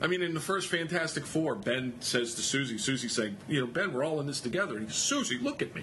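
A man's fairly high, lively voice at a very fast pace with hardly any pauses, amid noticeable background noise and audible room echo. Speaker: comic book artist. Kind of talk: interview.

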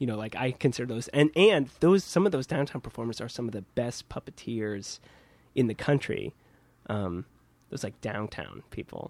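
In a very clean recording with a silent background, a man talks at a moderate pace in a medium pitch, with a normal speaking voice. His intonation is lively, and his loudness swings widely. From Kansas. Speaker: puppeteer. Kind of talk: casual chat. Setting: puppet studio.

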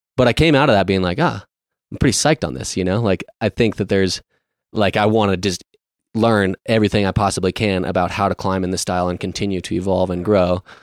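Very deep, low male voice with an American accent at a very fast pace, ordinary pitch variation, very clean recording with a silent background, and dry, close sound with no echo. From rural Colorado, US. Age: 30s. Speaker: alpinist and mountain guide. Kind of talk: casual interview conversation.

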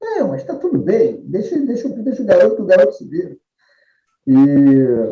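This man's volume rises and falls in big swings. He keeps a moderate pace. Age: 50s. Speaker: rugby player and club figure. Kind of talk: casual interview chat. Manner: halting, repeats words.

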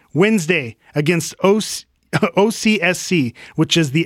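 The recording is very clean, with a silent background and a dry, close sound free of echo. A man speaks with ordinary pitch variation. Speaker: sports podcast host. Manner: playful, in character with props.

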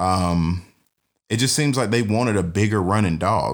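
In a very clean recording with a silent background, a man with a Southern US accent talks at a moderate pace and ordinary pitch variation. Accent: Southern US (Georgia). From US South (Georgia, Douglasville near Atlanta). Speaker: podcast host and bird dog trainer. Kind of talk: casual monologue. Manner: casual, many filler words.

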